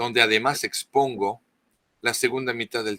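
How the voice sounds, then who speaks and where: With a non-native accent, a man talks at a fairly quick pace in a bright, sharp tone. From France. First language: French (speaking Spanish). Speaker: author, expert on Marian apparitions. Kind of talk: interview talk. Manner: halting, many false starts.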